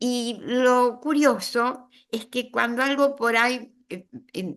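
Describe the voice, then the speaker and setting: The speaker has a Rioplatense accent, set against a quiet background. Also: woman. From Argentina, Buenos Aires. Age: 80s+. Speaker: writer. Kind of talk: interview. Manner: animated, moves hands while talking.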